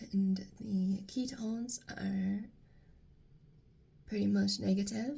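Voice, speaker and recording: Long pauses come often as the speaker talks very slowly. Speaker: lifestyle vlogger. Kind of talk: casual vlog. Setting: at home, dim room in the morning.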